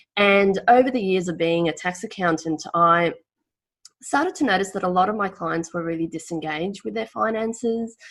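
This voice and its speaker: Speaking with an Australian accent, a woman uses a medium pitch, ordinary pitch variation, and a moderate pace on a very clean recording with a silent background. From former Yugoslavia. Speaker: financial planner. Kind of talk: podcast interview.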